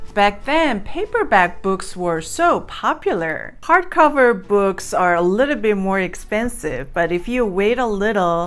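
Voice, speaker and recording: Lively intonation from a woman with a non-native accent at a fairly slow pace. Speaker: YouTuber. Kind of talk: casual vlog talk. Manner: hesitant, with fillers.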